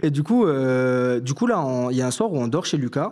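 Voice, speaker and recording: A man at a moderate pace with a medium pitch. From southern France, Toulouse area. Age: 20s. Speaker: fashion student, story caller. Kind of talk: personal storytelling on live stream. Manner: casual, hesitant with many fillers.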